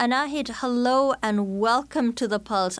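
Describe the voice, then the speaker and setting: A woman's voice with lively intonation. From India. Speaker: radio host. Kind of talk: radio interview. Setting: studio.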